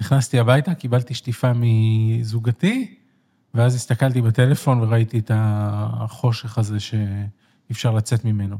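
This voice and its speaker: A man with a dark, mellow tone and a somewhat breathy medium-pitched voice speaks at a fairly slow pace with fairly even intonation and very even loudness, on a very clean recording with a silent background. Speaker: left-wing political commentator. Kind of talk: interview. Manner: emphatic.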